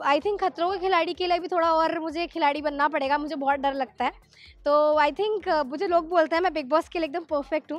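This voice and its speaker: A woman's extremely high voice with fairly even intonation and a dry sound with no echo. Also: moderate pace. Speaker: actress. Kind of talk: interview. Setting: at an event. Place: home room. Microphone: handheld.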